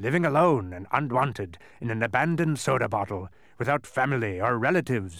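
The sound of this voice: The speaker's intonation is lively while the reading voice stays unforced.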